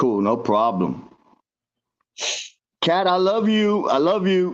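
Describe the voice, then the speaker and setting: A man at a very slow pace, very even in loudness, with audible room echo. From Florida. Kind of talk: casual chat.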